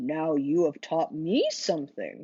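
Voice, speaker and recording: The speaker uses a put-on character voice at a middle pitch. The delivery comes at a fairly slow pace. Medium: read story. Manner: gentle.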